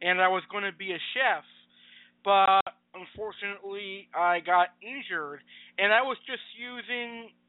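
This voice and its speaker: Here a man with an American accent talks at a very slow pace. His pitch is high, with ordinary variation. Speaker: podcast host. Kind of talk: casual talk show. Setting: home studio over Skype.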